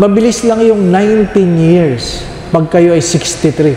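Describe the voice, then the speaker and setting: A man talks with a high pitch, ordinary pitch variation and a fairly slow pace. Noticeable background noise and audible room echo fill the recording. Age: 60s. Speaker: priest. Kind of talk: sermon. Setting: church. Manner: animated.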